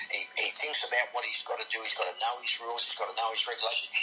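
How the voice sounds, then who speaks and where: Someone with an Australian accent speaks at a very fast pace over music in the background. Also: man. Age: 60s. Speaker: boxing referee. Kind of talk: radio interview.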